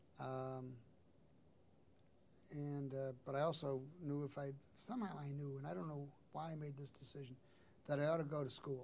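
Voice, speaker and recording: There is audible room echo as a man talks with an American accent at a moderate pace. His pitch is fairly high and his intonation fairly even. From Chicago, South Side (Hyde Park). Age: 70s. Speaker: lawyer and political aide. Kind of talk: oral history interview. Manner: conversational, hesitant with fillers.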